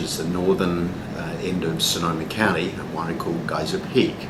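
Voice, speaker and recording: A man with a strong Australian accent at a fairly quick pace, amid noticeable background noise and audible room echo. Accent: thick (Australian). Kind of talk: interview. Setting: cafe. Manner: many fillers (um, uh).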